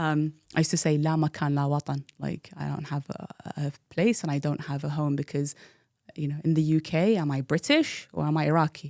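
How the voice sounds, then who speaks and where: A woman's very deep, low voice at a fairly quick pace, with fairly even intonation. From London, England (teen years in Iraq). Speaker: tech professional. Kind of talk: interview storytelling.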